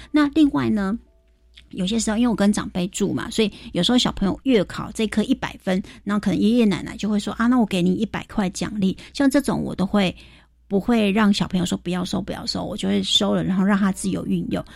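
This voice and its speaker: A woman with a medium pitch speaks with vocal fry at a fairly quick pace. Her pitch variation is ordinary, and the recording is very clean with a silent background. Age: 40s. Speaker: financial expert. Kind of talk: radio interview.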